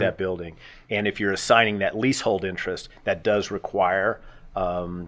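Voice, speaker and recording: Fairly low in pitch, a man talks in a normal speaking voice with fairly even intonation. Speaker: guest. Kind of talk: interview answer. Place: studio. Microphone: studio mic.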